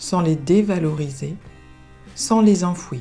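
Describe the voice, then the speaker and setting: A calm tone with lively intonation at a very slow pace, over music in the background. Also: woman. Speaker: therapist and coach. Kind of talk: positive affirmations recording. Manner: calm, slow.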